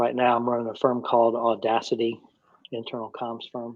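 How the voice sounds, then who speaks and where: A man with a medium pitch speaks in a relaxed tone. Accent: Atlanta. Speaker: communications consultant and mentor. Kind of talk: live Q&A panel. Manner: relaxed, conversational with repetitions.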